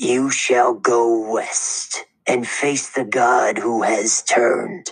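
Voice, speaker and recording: Putting on a raspy character voice, a man talks at a very slow pace and medium pitch with fairly even intonation. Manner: ominous, prophetic.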